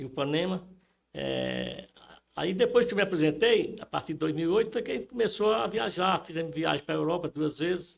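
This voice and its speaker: A high-pitched man at a fairly quick pace, with lively intonation. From Rio Grande do Norte, Brazil (Upanema). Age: 70s. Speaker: retired banker, interviewee. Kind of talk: interview. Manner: halting, many fillers.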